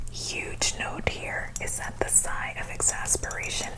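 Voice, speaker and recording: Whispering at a very slow pace, a woman uses a playful tone over noticeable background noise. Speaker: ASMR cooking host, comedic persona. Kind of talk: ASMR cooking show parody, whispered recipe explanation. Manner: soft-spoken, whispered, playful.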